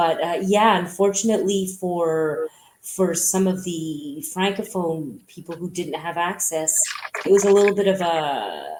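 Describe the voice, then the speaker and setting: Speaking at a fairly slow pace with a Montreal accent, a woman keeps a fairly low pitch and fairly even intonation. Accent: Montreal anglophone Canadian English. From Quebec, Montreal (English-speaking). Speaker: businesswoman. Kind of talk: interview.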